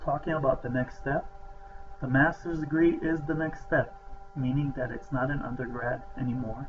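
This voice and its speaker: The speaker has an American accent and fairly even intonation. Background noise is noticeable. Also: man, fairly high pitch for a man, moderate pace. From outside the US. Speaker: professor, program director. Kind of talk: welcome talk to students.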